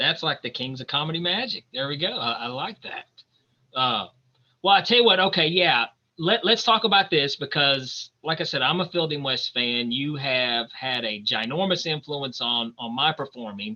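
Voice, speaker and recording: A man with an East Tennessee accent, a fairly high pitch, lively intonation and a moderate pace. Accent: Southern US (East Tennessee). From US South, Knoxville Tennessee. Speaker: podcast host, stand-up comedy magician. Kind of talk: casual interview. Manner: animated.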